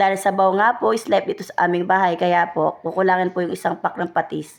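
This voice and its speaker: A woman at a very fast pace with a medium pitch. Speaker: cooking vlogger. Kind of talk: voice-over narration. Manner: polite, casual.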